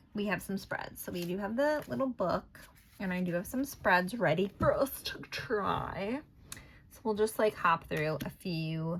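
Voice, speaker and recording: A woman speaks fairly slowly at a medium pitch, her voice somewhat breathy. Her loudness swings widely. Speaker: tarot and oracle card reader. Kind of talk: casual card reading tutorial. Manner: mumbling; rambling, filler-heavy.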